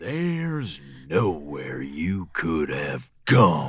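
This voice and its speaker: A put-on character voice from a man, very deep and low, raspy, with lively intonation and a very slow pace. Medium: audio drama. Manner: mocking, low, teasing.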